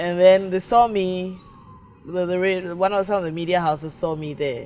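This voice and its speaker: A woman's voice at a moderate pace with fairly even intonation, over noticeable background noise. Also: medium pitch for a woman. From Ghana. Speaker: nonprofit founder and former vice presidential candidate. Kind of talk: interview.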